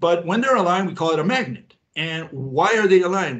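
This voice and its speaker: Lively intonation runs through the fairly high pitch of a man with an unremarkable speaking voice. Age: 60s. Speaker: physics theorist. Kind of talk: interview.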